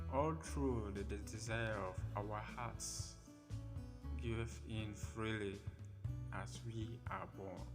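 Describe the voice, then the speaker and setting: Over music in the background, a man with a very deep, low pitch speaks at a very slow pace, his pitch making very wide swings, with long, frequent pauses. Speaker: poet, spoken word artist. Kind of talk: spoken word poetry reading.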